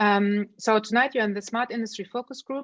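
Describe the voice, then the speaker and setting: Intonation stays fairly even in a dry, close sound with no echo and a quiet background. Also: woman. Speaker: event host, organization representative. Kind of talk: online event presentation. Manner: fast.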